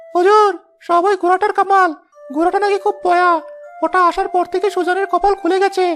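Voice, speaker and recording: A cartoonish character voice at a moderate pace, faint music in the background. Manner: obsequious.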